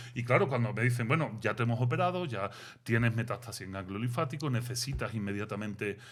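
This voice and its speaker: Animated and somewhat breathy, a man speaks at a very fast pace in a Sevillian accent. His pitch is medium, with ordinary variation. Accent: Sevillian Andalusian. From Seville, Spain. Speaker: philosopher and author. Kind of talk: interview. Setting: studio.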